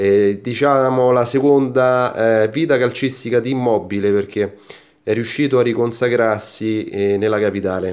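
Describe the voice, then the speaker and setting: A man speaks at a fairly slow pace with very even loudness. The background is quiet. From Italy. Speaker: YouTuber opening sticker packs. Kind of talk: casual unboxing commentary to camera. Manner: animated. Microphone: phone near.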